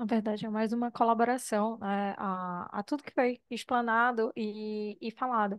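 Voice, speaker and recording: Against a quiet background, a woman in a plain, everyday voice speaks at a fairly high pitch and fairly slow pace with fairly even intonation. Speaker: psychologist. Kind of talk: audience comment.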